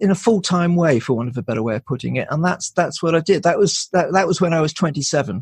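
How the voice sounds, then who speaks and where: The man's voice sounds somewhat breathy. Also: dry, close sound with no echo, quiet background. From Wales, Pembrokeshire. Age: 60s. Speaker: shamanic practitioner. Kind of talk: podcast interview. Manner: halting, many fillers and restarts.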